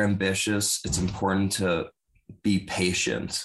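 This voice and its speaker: Against a quiet background, a man talks at a fairly slow pace. His pitch is fairly low. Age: 20s. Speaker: college student gym owner. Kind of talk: podcast interview.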